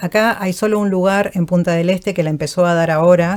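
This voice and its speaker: With a Uruguayan accent, a woman speaks at a moderate pace in a fairly low pitch, her intonation fairly even. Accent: Rioplatense Uruguayan. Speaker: voice actor and vocal coach. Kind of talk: interview. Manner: calm.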